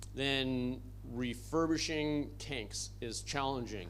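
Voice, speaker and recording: A man speaks with audible room echo. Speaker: conference presenter for a relief organization. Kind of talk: conference presentation.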